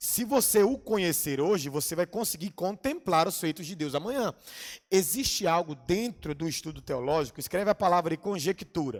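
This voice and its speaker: Animated in tone, a man with a high pitch speaks with lively intonation. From Bahia, Brazil. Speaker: pastor and theology teacher. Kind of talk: lecture. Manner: fast.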